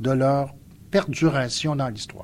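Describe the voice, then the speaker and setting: A somewhat breathy male voice. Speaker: sociologist and essayist. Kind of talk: public lecture.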